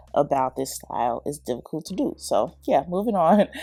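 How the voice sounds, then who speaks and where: An animated woman at a moderate pace, with music in the background. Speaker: hair tutorial youtuber. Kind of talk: tutorial. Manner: casual, animated.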